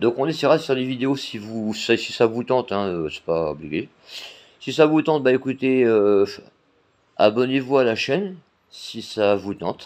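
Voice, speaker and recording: Pausing long and often, a man speaks at a moderate pace in a medium pitch with lively intonation. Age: 40s. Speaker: blind guide dog volunteer and YouTuber. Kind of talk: casual vlog talk to camera. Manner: hesitant, many fillers.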